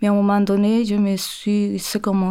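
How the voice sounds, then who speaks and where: In a Spanish accent, a woman speaks fairly slowly with a dark, mellow tone. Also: very clean recording, silent background. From Chile. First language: Spanish (speaking French). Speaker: textile artist. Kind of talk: interview conversation. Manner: halting.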